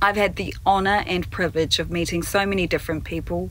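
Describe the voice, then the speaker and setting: Noticeable background noise surrounds this woman as she talks at a moderate pace. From New Zealand. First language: Māori. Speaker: newsreader and broadcast journalist. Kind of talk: keynote speech. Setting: pre-recorded video keynote.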